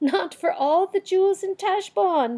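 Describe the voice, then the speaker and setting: In a put-on character voice, a woman squeaks at an extremely high pitch and a moderate pace, recorded dry and close with no echo. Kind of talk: archaic courtly speech. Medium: read story.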